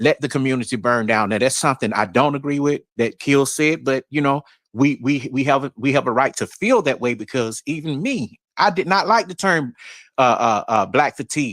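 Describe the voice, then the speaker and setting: Speaking in a Southern accent, a man with a fairly high pitch uses lively intonation at a moderate pace. The sound is dry and close with no echo, on a very clean recording with a silent background. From New York. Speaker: livestream panelist. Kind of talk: casual livestream discussion.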